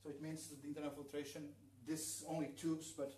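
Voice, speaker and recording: A man with a Portuguese accent talks at a fairly quick pace and a fairly high pitch. There is audible room echo and noticeable background noise. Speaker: aquascaper. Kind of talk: live demonstration workshop. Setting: livestream in a showroom. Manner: halting. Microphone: too quiet.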